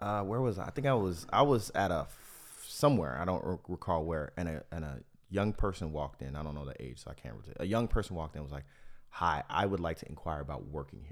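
Very deep and low with vocal fry, a man's voice races at a very fast pace with lively intonation. His loudness swings widely on a very clean recording with a silent background. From Miami. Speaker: podcast host. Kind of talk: casual chat.

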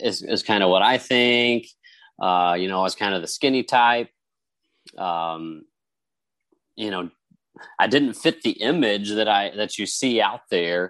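Against a quiet background, a man with a fairly low pitch talks at a fairly slow pace, using ordinary pitch variation and long, frequent pauses. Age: 30s. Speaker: podcast guest asking a question. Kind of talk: casual chat.

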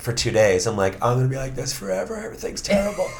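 With an American accent, the man talks at a medium pitch. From New York (Queens, then Long Island). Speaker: playwright and performer. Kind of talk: interview.

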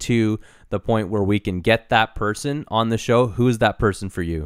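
This is a normal speaking voice from a man at medium pitch, with ordinary pitch variation and a moderate pace. The recording is very clean with a silent background and a dry, close sound with no echo. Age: 30s. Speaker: podcast host, former broadcaster. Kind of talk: casual chat.

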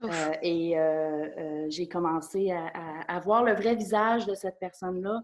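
In a Quebec accent, a woman speaks fairly slowly at a fairly low pitch with ordinary pitch variation. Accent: Québécois French. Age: 30s. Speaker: psychotherapist. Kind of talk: interview testimony. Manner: halting.

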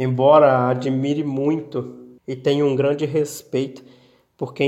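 This man's voice is fairly high in pitch yet dark and mellow in tone. His intonation stays flat and monotone. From Minas Gerais, Brazil (Bela Vista de Minas). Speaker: writer and poet. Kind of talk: interview with prepared reading.

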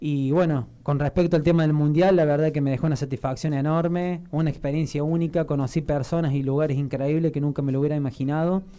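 With hardly any pauses, a man talks at a very fast pace in a fairly high pitch, his dark, mellow tone set in monotone, flat intonation. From Argentina, Río Cuarto (Córdoba). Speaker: athlete. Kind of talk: radio interview. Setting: studio.

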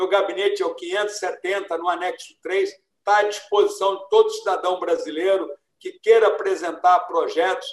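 A man talks at a moderate pace with hardly any pauses. His loudness swings widely. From Brazil, São Paulo state (Ribeirão Preto, then São Paulo city). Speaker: retired army general and federal deputy. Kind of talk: interview.

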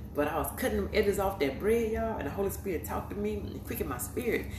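Room echo is clearly audible, along with noticeable background noise. Through it, a woman speaks very rapidly. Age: 50s. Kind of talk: sermon-style devotional video. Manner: animated.

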